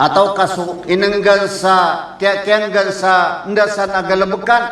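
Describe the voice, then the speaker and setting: The man's high-pitched voice stays monotone and flat at a moderate pace. Audible room echo and noticeable background noise surround him. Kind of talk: sermon.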